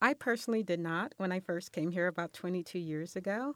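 With an American accent, a woman uses a normal speaking voice at a medium pitch and moderate pace, sounding dry and close with no echo. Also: very clean recording, silent background. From Los Angeles. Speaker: mother of five. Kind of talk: interview. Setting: studio.

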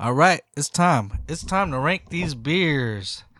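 A man with a bright, sharp tone and a fairly high pitch. The sound is dry and close with no echo, in a very clean recording over a silent background. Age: 40s. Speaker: podcast co-host. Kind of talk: casual chat.

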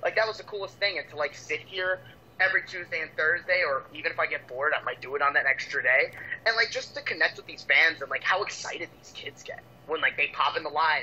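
A man talks at a very fast pace with big swings in loudness. Noticeable background noise runs underneath. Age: 20s. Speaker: pro wrestler. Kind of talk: casual interview chat.

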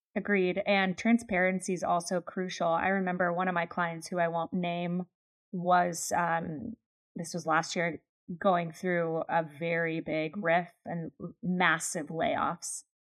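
The delivery comes at a fairly slow pace. It is an ordinary speaking voice. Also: woman, fairly low pitch for a woman. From Pennsylvania, US. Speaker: podcast co-host, leadership trainer. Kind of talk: casual chat.

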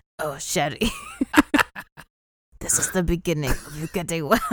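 A raspy, put-on character voice sits at a middle pitch in a French accent. It moves at a moderate pace.

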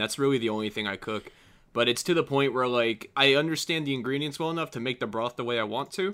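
This man has a normal speaking voice and talks at a fairly quick pace. His pitch varies in an ordinary way. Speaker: podcast guest. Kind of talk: casual chat.

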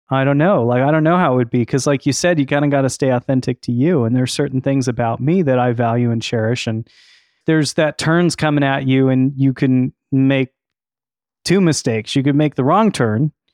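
A man speaks at a fairly quick pace with very even loudness and an ordinary speaking voice. His pitch is medium, with ordinary pitch variation. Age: 40s. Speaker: podcast host and musician. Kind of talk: interview conversation. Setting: studio.

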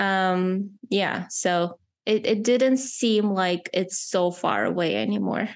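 At a very slow pace, a woman with a medium-pitched voice keeps a very even loudness and ordinary pitch variation. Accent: non-native. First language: not English. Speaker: podcast host and filmmaker. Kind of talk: casual interview chat. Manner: halting at times, searching for words.

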